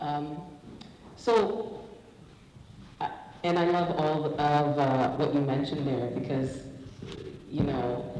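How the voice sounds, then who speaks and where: A man talks at a very slow pace with long, frequent pauses, his fairly high pitch showing ordinary variation. Audible room echo and noticeable background noise fill the recording. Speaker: panel moderator. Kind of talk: panel discussion. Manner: loud.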